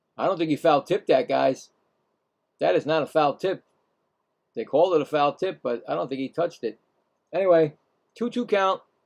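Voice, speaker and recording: A man's fairly high voice with lively intonation, long and frequent pauses, a dry, close sound with no echo, and a quiet background. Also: fairly quick pace. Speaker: live game play-by-play streamer. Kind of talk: live play-by-play commentary. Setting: live stream. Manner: casual, halting with fillers.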